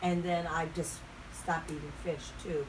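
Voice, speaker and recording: Over noticeable background noise and audible room echo, a woman speaks at a fairly slow pace with an American accent. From Baltimore, Maryland. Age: 70s. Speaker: retired singer. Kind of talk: interview. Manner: halting.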